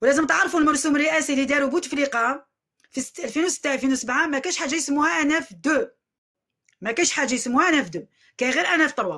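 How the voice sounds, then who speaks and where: A woman speaks very fast in a raised, projected voice with a bright, sharp tone. Her pitch is high, with ordinary variation. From Algeria, Algiers. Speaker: vlogger airing a grievance. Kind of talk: complaint testimony to camera. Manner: repetitive, emphatic.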